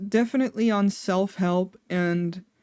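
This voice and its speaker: A woman with a Dutch accent in a very clean recording over a silent background. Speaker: vtuber streamer. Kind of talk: casual chat. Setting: live stream. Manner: rambling with fillers, tangents.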